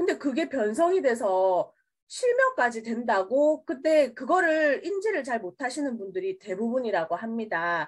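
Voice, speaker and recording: A woman's high voice at a fairly slow pace with very wide pitch swings, on a very clean recording with a silent background. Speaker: product presenter. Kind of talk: sales pitch. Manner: casual, friendly.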